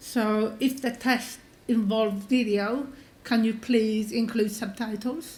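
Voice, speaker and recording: Speaking with a non-native accent, a woman with a fairly high voice talks at a very slow pace in a monotone, flat manner, with audible room echo. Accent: sounds foreign. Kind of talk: conference talk. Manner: hesitant, many fillers.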